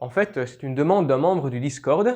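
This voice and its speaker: A man with a Belgian accent talks at a fairly quick pace with lively intonation. The background stays quiet. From Belgium. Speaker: YouTuber, history and legends channel. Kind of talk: casual Q&A video. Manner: hesitant, many fillers.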